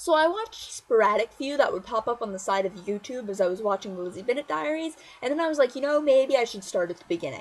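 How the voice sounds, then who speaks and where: A woman's high-pitched, animated voice at a very fast pace, with very wide pitch swings. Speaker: vlogger. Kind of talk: casual vlog monologue.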